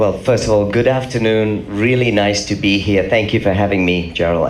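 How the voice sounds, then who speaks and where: A man's fairly low pitch at a fairly quick pace, with audible room echo and noticeable background noise. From England. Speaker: business executive. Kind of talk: panel discussion.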